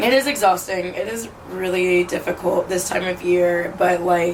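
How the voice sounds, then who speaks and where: A woman's voice, with ordinary pitch variation, is heard amid noticeable background noise. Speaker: lifestyle vlogger. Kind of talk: casual vlog monologue. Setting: on a balcony. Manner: casual, filler-heavy.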